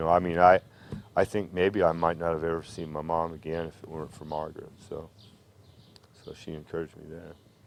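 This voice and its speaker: A man with a very deep, low pitch talks at a fairly quick pace in a monotone, flat intonation, broken by long, frequent pauses. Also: big swings in loudness. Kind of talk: interview answer.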